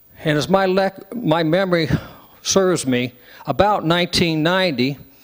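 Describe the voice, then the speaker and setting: A man talks in a high pitch. Noticeable background noise runs underneath. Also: ordinary pitch variation, moderate pace. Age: 60s. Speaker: public meeting attendee. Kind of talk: public comment at town hall. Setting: town hall meeting with audience, microphone.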